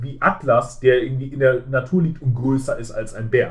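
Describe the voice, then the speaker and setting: This man's voice is fairly high-pitched and somewhat breathy. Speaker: film podcast host. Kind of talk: casual film discussion. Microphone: muffled sound, as if a blanket over the mic.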